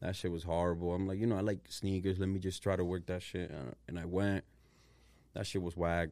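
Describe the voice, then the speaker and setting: In a very clean recording with a silent background, a man with a very deep, low pitch speaks at a fairly quick pace and fairly even intonation. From Dominican Republic, raised in Providence, Rhode Island from third grade. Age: 30s. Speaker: social media content creator. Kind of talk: casual podcast interview.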